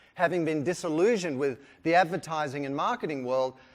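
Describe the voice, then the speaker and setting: A man with an Australian accent talks at a fairly quick pace in an animated tone, his fairly high pitch moving with lively intonation. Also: very clean recording, silent background. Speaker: keynote speaker, brand consultant. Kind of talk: keynote talk. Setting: conference stage with audience.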